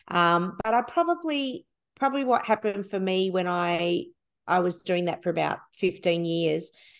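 A woman talks with an Australian accent. The background is quiet. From Melbourne, Australia. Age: 50s. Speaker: worship leader and songwriter. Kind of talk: interview conversation.

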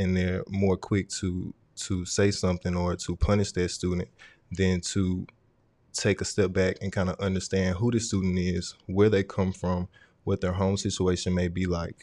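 On a very clean recording with a silent background, a man with a very deep, low pitch and a dark, mellow tone speaks at a moderate pace in a flat monotone. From Mississippi, Vicksburg. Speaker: software engineering student and tutor. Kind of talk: casual chat.

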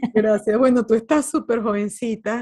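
In a plain, everyday voice, the speaker keeps a moderate pace and fairly even intonation against a quiet background. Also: woman. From Venezuela. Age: 50s. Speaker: life coach and author. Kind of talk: interview conversation.

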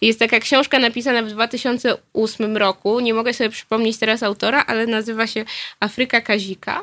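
Speech comes at a fairly quick pace with fairly even intonation. The sound is dry and close, with no echo. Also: woman, fairly high pitch for a woman. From southern Poland, Nowy Sącz. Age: 20s. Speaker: journalist. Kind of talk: radio interview. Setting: studio. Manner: hesitant, many fillers.

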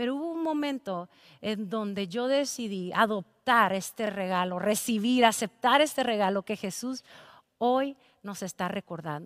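In a very clean recording with a silent background, a woman speaks at a fairly high pitch. Her tone is animated, her intonation lively, and her pace fairly slow. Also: dry, close sound with no echo. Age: 30s. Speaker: pastor. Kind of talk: sermon.

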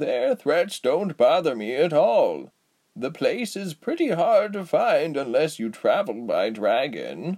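A man puts on a character voice with high pitch. He speaks at a fairly slow pace. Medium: read story. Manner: bitter, world-weary.

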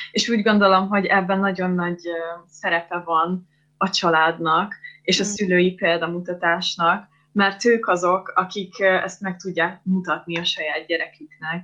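A woman delivers her words in a bright, sharp tone with monotone, flat intonation. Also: medium pitch for a woman, fairly slow pace. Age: 20s. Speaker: psychology student, eating disorder survivor. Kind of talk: interview testimony.

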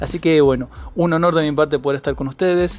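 The speech goes at a very fast pace. Its intonation stays fairly even. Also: man. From Argentina, San Juan. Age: 20s. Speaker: podcast host and writer. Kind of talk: podcast monologue introducing a season.

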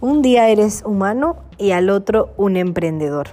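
With music in the background, a woman speaks at medium pitch with very wide pitch swings. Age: 20s. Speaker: entrepreneur. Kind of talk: personal introduction monologue.

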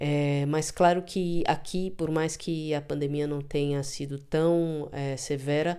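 Very deep and low in pitch, a woman speaks in a dark, mellow tone at a very slow pace with monotone, flat intonation. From São Paulo, Brazil. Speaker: drummer and composer. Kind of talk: interview testimony.

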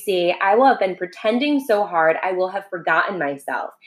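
Lively intonation in a natural reading voice

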